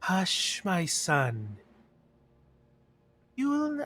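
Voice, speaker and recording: A man uses a put-on character voice pitched high. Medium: actual play. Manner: creepily tender.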